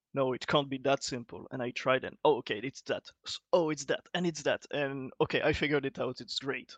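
A man speaks at a fairly quick pace in a normal speaking voice, his pitch fairly high for a man. The sound is dry and close with no echo, over a quiet background. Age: 30s. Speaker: game scripting expert. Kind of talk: casual chat.

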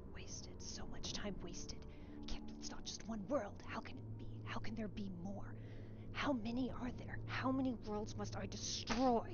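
A gravelly, put-on character voice moves at a moderate pace over noticeable background noise. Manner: angry.

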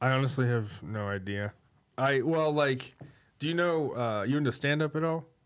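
In a normal speaking voice, a man with an American accent talks at medium pitch. His pace is moderate and his pitch varies in an ordinary way. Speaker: podcaster and author. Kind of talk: casual chat.

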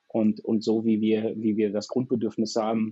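At a fairly slow pace, a man talks with medium pitch. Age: 40s. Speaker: software company managing director. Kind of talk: interview. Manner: halting, many repetitions and fillers.

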